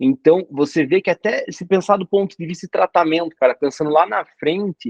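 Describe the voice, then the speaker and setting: A man speaks, and the recording sounds dry and close without any echo. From Brazil, interior of Paraná. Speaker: doctor and exam coach. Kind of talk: casual interview chat.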